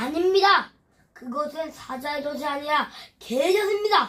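A woman's high-pitched put-on character voice with lively intonation, at a moderate pace. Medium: read story. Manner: flustered, stammering.

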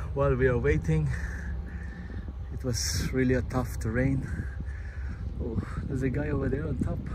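Noticeable background noise sits under a man's voice, heard in dry sound with no echo. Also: moderate pace. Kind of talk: casual vlog chat. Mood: amused, excited discovery. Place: open country. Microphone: phone near.

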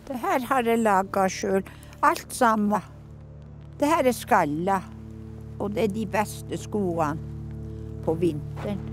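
A woman at a very slow pace with a medium pitch, very wide pitch swings, long, frequent pauses, and music in the background. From Northern Norway, Sámi. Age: 80s+. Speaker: reindeer herder. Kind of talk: documentary interview, personal story.

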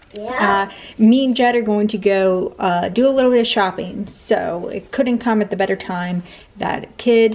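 With ordinary pitch variation, a woman talks fairly slowly. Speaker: mother vlogger. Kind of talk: casual vlog chat.

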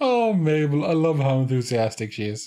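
The man's voice is fairly high in pitch with big swings. His tone is dark and mellow. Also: moderate pace.

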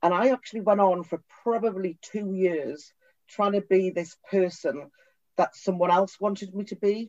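A woman with a Geordie accent at medium pitch and a moderate pace, with ordinary pitch variation and a dry, close sound with no echo. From northern England, Newcastle upon Tyne. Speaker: tech company CEO. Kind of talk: interview.

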